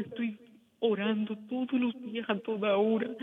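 There is noticeable background noise. Through it, a woman speaks with a fairly high pitch. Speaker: caller. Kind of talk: distressed testimony. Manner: halting.

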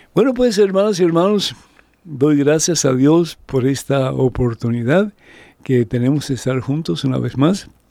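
A man's fairly high voice with a dark, mellow tone, lively intonation and a fairly slow pace. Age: 70s. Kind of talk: radio call-in show on faith. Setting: studio. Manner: warm and animated.

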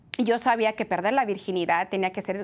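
A woman speaks in an ordinary speaking voice at a medium pitch against a quiet background. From California, Mexican-American family from Jalisco. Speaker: pro-life TV presenter. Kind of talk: personal testimony. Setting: TV studio.

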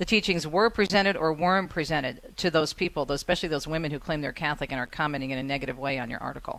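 With an American accent, a woman with a very deep, low pitch speaks very fast with hardly any pauses and ordinary pitch variation, over a quiet background. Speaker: radio host. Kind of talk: casual radio talk show. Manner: warm, chatty.

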